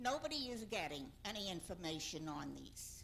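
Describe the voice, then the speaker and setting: A woman's bright, sharp voice with vocal fry, very wide pitch swings and a moderate pace, with audible room echo. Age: old. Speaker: public commenter at council meeting. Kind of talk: public comment at council meeting.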